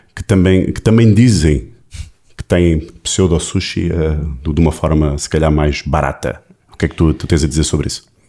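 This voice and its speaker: A man speaks with a European Portuguese accent at a moderate pace. His tone is dark and mellow. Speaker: podcast host. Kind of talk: interview conversation. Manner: halting, many repetitions.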